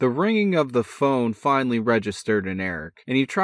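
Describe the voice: This is plain reading aloud. The text is read through without any added performance.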